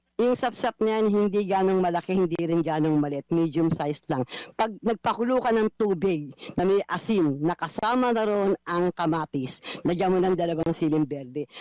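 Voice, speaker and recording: Her fairly low pitch and dark, mellow tone carry lively intonation at a moderate pace, with very even loudness and a dry, close sound with no echo. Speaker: radio market-price reporter. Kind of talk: live radio segment banter.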